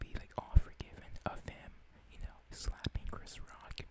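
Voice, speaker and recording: A man whispers. His pace is fairly slow. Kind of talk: ASMR whisper ramble. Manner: whispered.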